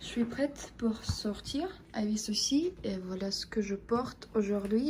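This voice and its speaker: In a Russian accent, this woman talks with a fairly high voice. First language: Russian (speaking French). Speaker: vlogger. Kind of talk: casual vlog. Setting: at home. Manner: slow; halting, frequent 'euh'.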